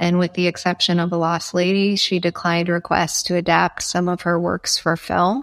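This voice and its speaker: With a fairly low pitch, a woman speaks at a moderate pace in a monotone, flat intonation, at very even loudness and with hardly any pauses, in a dry, close sound with no echo. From Nebraska. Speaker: foundation executive director. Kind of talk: interview.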